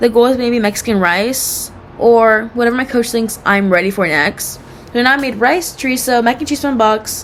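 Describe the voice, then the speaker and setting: Loud and fairly quick, a woman talks at a high pitch with ordinary pitch variation over noticeable background noise. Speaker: cooking student vlogger. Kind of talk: casual self-assessment monologue. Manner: rambling with many fillers.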